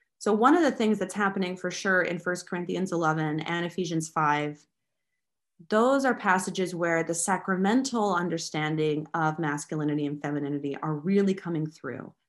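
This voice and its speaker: In an ordinary speaking voice, a woman with a fairly low pitch talks at a moderate pace with ordinary pitch variation against a quiet background. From United States. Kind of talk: interview.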